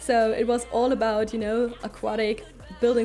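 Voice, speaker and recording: A woman speaks with a German accent at a fairly quick pace. Her pitch sits fairly high. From Germany. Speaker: streamer. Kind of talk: casual chat. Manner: halting.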